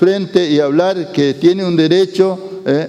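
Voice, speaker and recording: Noticeable background noise sits behind a man with a high voice. He speaks fairly slowly, with ordinary pitch variation. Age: 70s. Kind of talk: talk to school students. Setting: school. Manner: halting, with fillers.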